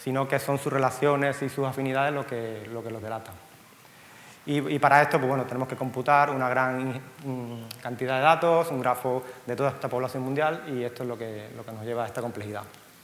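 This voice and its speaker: Over noticeable background noise and with audible room echo, a man talks at a fairly quick pace with fairly even intonation. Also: medium pitch for a man. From Cuba. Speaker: software company co-founder. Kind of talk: conference talk. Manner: halting, frequent fillers and repeats.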